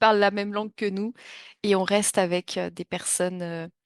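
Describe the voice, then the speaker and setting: Over a quiet background, a woman with a medium-pitched voice speaks at a moderate pace in a dry, close sound with no echo. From France. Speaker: French teacher. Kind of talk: online class introduction. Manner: hesitant, many fillers.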